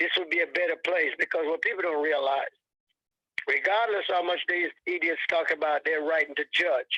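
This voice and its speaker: A man talks at a moderate pace in a high pitch. His intonation is fairly even and his loudness very even. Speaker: caller. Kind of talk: casual chat.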